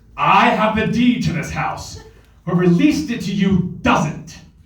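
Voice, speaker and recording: A man's put-on character voice, high in pitch, with a slight echo. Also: moderate pace. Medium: stage play. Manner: indignant, demanding.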